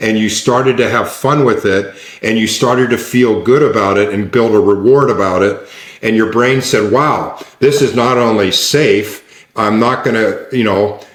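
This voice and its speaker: A man talks at a moderate pace with fairly even intonation. Audible room echo is present. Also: medium pitch for a man, very even loudness. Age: 60s. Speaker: neuroscience coach. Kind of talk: interview conversation. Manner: repetitive restarts.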